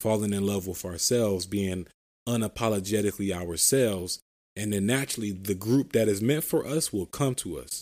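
On a very clean recording with a silent background, a man speaks at a fairly low pitch. His pace is fairly quick, with ordinary pitch variation. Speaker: podcast host. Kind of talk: motivational monologue. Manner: animated.

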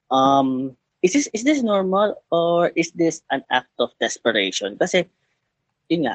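In a dry, close sound with no echo, a man with a Filipino accent speaks with lively intonation. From Philippines. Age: 20s. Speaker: caller. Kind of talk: advice call-in.

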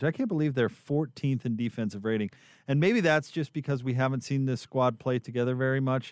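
An unremarkable speaking voice moves at a moderate pace. The sound is dry and close with no echo, over a quiet background. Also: man. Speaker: radio sports host. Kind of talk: radio postgame show hosting, sponsor reads. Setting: radio studio broadcast. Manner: polished, smooth broadcaster delivery.

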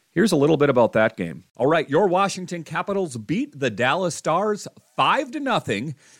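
In a very clean recording with a silent background and a dry, close sound with no echo, a man with a fairly high pitch and vocal fry talks at a fairly quick pace with very wide pitch swings. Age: 40s. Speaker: hockey podcast host. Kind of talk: solo sports podcast commentary. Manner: casual with frequent fillers.

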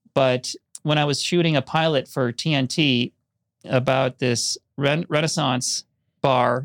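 Using a normal speaking voice, a man with an American accent speaks in a fairly high pitch and fairly even intonation. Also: dry, close sound with no echo. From Minnesota, Minneapolis western suburbs. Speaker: film and TV editor and documentary director. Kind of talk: casual interview conversation. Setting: studio.

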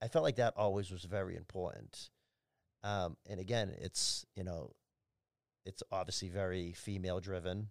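Over a silent background on a very clean recording, a man talks at a moderate pace in a very deep, low voice, the sound dry and close with no echo. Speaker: nightclub general manager. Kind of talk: casual chat. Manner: loud.

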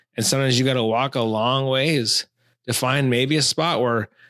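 On a very clean recording with a silent background, a man with an American accent speaks in a medium pitch, an unremarkable speaking voice. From Minnesota, Taylor's Falls. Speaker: fly fishing angler. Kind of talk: casual chat.

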